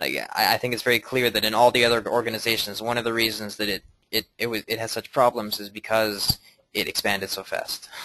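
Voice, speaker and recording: A man's bright, sharp, medium-pitched voice, very fast and monotone with flat intonation. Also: dry, close sound with no echo. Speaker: lecture presenter. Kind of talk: group discussion after lecture.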